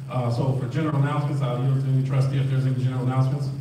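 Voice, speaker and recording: A man talks very fast in a monotone, flat voice at a medium pitch, with audible room echo and noticeable background noise. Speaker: village trustee chairing the meeting. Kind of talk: formal public board meeting. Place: hall. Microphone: pa.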